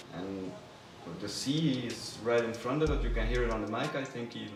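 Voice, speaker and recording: A man speaks with a Belgian accent. Audible room echo and noticeable background noise come through. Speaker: manager of a music label, former chef. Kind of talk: interview. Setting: by the sea, in open ruins. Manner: halting, self-correcting.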